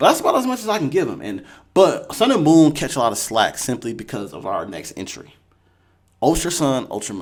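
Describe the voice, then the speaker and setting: In an animated tone, a man speaks at a fairly quick pace in a fairly high voice with vocal fry, very wide pitch swings and big swings in loudness. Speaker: gaming youtuber. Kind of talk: casual commentary.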